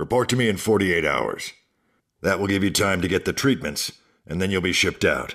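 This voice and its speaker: Using a put-on character voice, a man talks at a fairly quick pace with fairly low pitch. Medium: read story. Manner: measured, authoritative.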